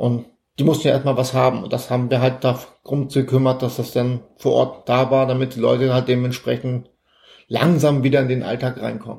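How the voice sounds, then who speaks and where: Dark and mellow in tone, a man's voice sits at a medium pitch and is somewhat breathy. He speaks at a moderate pace with flat, monotone intonation. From northern Germany (Elmshorn, Schleswig-Holstein). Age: 50s. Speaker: Red Cross volunteer. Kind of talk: interview.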